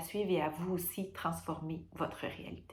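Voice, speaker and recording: Speaking in a Quebec accent, a woman talks in a flat monotone at a fairly low pitch and a moderate pace. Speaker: perinatal care worker. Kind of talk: testimony. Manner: hesitant, many fillers.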